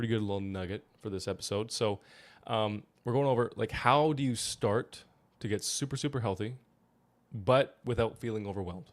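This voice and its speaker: On a very clean recording with a silent background, a man speaks at a fairly quick pace and medium pitch, in an animated tone with ordinary pitch variation. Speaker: health podcast co-host. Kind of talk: casual podcast chat. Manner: fast.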